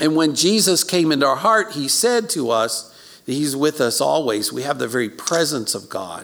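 A man with an American accent, fairly high in pitch with very wide pitch swings, at a moderate pace with hardly any pauses. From Maryland (Baltimore, then rural farm near DC). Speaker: pastor. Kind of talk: sermon. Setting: recorded church service for online viewing.

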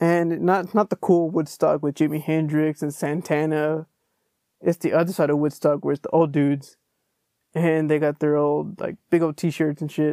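A man with a Texan accent speaks at a fairly high pitch, his tone dark and mellow and his intonation flat and monotone. The recording is very clean with a silent background, and the sound is dry and close with no echo. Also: moderate pace. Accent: Texan American English. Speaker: podcast host. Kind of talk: casual solo monologue. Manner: relaxed, conversational.

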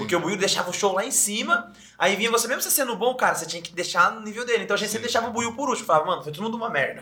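A man speaks in a raised, projected voice, high-pitched and very fast with hardly any pauses, his pitch varying in an ordinary way. His loudness swings widely over noticeable background noise. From interior of São Paulo state, Brazil (Sorocaba). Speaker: podcast co-host. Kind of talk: casual chat.

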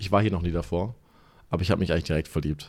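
A man's pitch moves in an ordinary way, captured on a very clean recording against a silent background. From Germany, Stuttgart. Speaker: gym employee. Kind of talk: casual chat.

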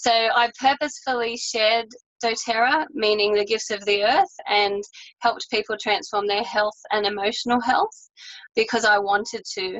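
Speaking at a moderate pace in an Australian accent, a woman has a fairly high pitch and ordinary pitch variation. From Australia, New South Wales. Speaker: holistic health business owner. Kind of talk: interview.

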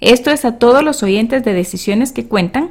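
Speaking at a moderate pace, a woman with a plain, everyday voice uses lively intonation. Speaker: podcast host and health coach. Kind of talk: scripted ad read; casual interview.

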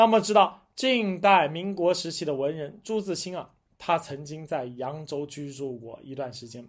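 An unremarkable speaking voice, a man talks at a fairly slow pace and fairly high pitch with lively intonation, big swings in loudness and hardly any pauses, over a quiet background. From China, Jiangsu (Huai'an). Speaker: history and food podcast host. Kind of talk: solo monologue talk. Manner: conversational with many fillers.

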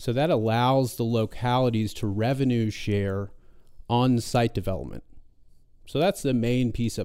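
On a very clean recording with a silent background, a man with a dark, mellow tone speaks at a medium pitch and moderate pace, with ordinary pitch variation. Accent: American. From Southwest Virginia, Roanoke. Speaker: regional economic development program director. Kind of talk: casual chat.

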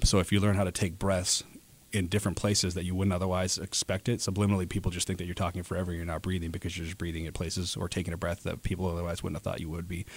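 A man talks at a very fast pace in a very deep, low pitch with monotone, flat intonation. The recording is very clean, with a silent background. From Alaska, Anchorage. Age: 30s. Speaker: advertising sales rep and auctioneer. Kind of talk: interview.

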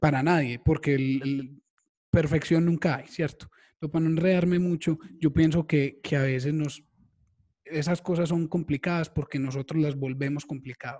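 A man's somewhat breathy voice, fairly high in pitch, carries a dark, mellow tone and fairly even intonation. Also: moderate pace. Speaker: podcast host, digital marketing copywriter. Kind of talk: casual chat.

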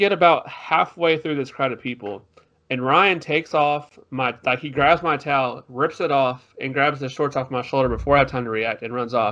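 A man with a plain, everyday voice speaks in an American accent at a fairly high pitch, keeping a moderate pace with hardly any pauses and ordinary pitch variation. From Texas, Tyler. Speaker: podcast co-host. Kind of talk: casual chat. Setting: video podcast.

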